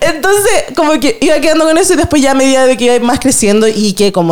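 Animated in tone, a woman with a Chilean accent talks at a fairly quick pace with very wide pitch swings over noticeable background noise. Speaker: podcast host. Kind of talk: casual chat.

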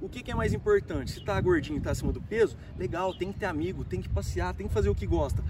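A man talks at a fairly quick pace, his voice carrying audible room echo amid noticeable background noise. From Brazil, São Paulo state (Ribeirão Preto). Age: 30s. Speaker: human development coach. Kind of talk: casual interview chat. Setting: in person, hot location in Barretos.

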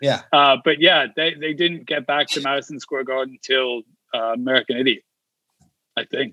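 With an English accent, a man speaks in a fairly high pitch using fairly even intonation. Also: moderate pace. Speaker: comedian. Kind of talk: casual chat. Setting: video call.

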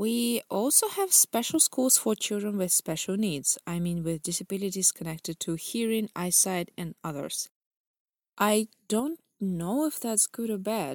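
A woman with a Russian accent speaks at a fairly slow pace and medium pitch, with lively intonation. The recording is very clean with a silent background and a dry, close sound with no echo. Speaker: podcast host, English tutor. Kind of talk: scripted narration.

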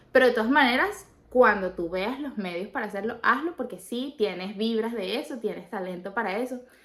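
With an unremarkable speaking voice, a woman at a fairly high pitch talks at a fairly quick pace with hardly any pauses. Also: lively intonation. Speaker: podcast co-host. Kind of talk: casual chat.

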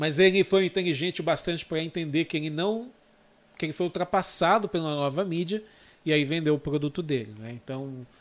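On a very clean recording with a silent background, a man with a fairly high pitch speaks at a moderate pace in a normal speaking voice, with ordinary pitch variation. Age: 30s. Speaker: motorsport YouTuber. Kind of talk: casual chat.

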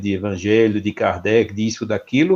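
A man with a Recife accent, a medium pitch, a dark, mellow tone and a moderate pace. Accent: Recife Brazilian Portuguese. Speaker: spiritist federation president. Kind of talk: casual discussion.

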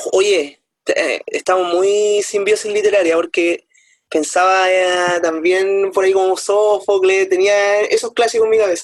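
A man's high-pitched, monotone voice with flat intonation, very even loudness, and a fairly slow pace. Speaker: teacher and podcast co-host. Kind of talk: casual chat about books.

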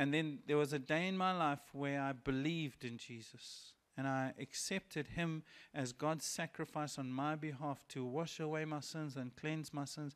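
The recording is very clean with a silent background. A man with a plain, everyday voice, pitched fairly high, talks at a moderate pace with fairly even intonation. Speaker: pastor. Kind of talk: sermon with guided prayer. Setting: church. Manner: relaxed, conversational, gently reassuring.

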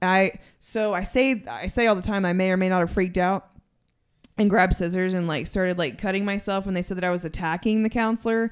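A woman speaks with a West Texas accent at a fairly quick pace, her pitch medium with ordinary variation. The recording is very clean, with a silent background. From Texas (San Angelo). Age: 30s. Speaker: recovering addict. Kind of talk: casual chat.

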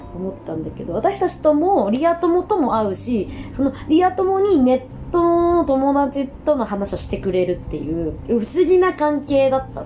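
Through noticeable background noise, a woman talks at a moderate pace in a high pitch, with very wide pitch swings and big swings in loudness. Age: 30s. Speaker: podcaster. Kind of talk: casual monologue. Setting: at home.

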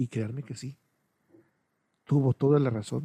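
This man's voice sits at a medium pitch with a dark, mellow tone, recorded dry and close with no echo. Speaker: podcaster, videographer. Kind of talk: personal monologue. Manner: hesitant.

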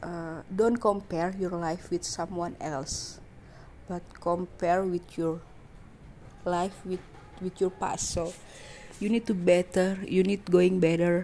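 Woman with an Indonesian accent, fairly low pitch and monotone, flat intonation, at a very slow pace with long, frequent pauses. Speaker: podcaster. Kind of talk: personal monologue. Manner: halting.

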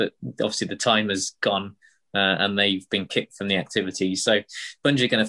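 A man with a fairly low pitch and a bright, sharp tone speaks in a monotone, flat intonation, the sound dry and close with no echo. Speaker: podcast co-host. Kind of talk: casual podcast chat about a video game.

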